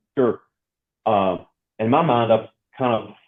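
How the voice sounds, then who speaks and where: A man with a North Alabama accent and fairly even intonation. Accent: Southern US (North Alabama). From US South, North Alabama. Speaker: institutional research associate director. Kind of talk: interview.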